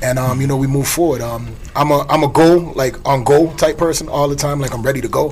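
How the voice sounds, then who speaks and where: A man with an American accent, fairly high-pitched and flat in a monotone, very fast, over noticeable background noise. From US Virgin Islands, St. Thomas. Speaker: TV show creator. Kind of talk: casual chat.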